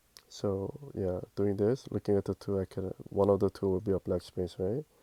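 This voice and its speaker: A man's normal speaking voice, fairly low in pitch with fairly even intonation, at a moderate pace, in a dry, close sound with no echo against a quiet background. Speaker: puzzle tutorial youtuber. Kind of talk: tutorial.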